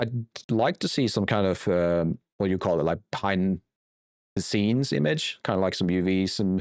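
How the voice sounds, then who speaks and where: A man with a fairly low pitch and a non-native accent at a moderate pace, in a dry, close sound with no echo and a very clean recording with a silent background. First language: not English. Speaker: game developer and streamer. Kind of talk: live stream chat while 3D modelling. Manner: hesitant, searching for words.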